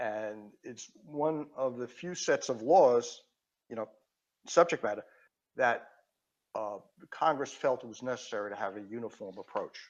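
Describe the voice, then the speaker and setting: With a New York accent, a man speaks at a moderate pace and medium pitch, with ordinary pitch variation, big swings in loudness and long, frequent pauses. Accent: Queens New York. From New York City (Queens). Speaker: patent attorney and engineer. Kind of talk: podcast interview. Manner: halting.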